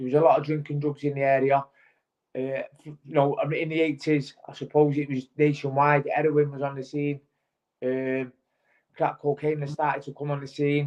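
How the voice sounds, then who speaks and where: A man's fairly high, flat, monotone voice at a moderate pace. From Manchester, northern England. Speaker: former pro boxer. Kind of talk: testimony. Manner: halting, many fillers.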